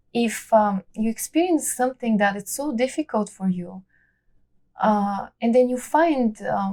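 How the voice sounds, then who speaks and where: Here a woman with a Bulgarian accent speaks at a fairly slow pace. Her pitch is fairly high. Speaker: immigrant artist and belly dancer. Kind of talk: interview. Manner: halting, many fillers.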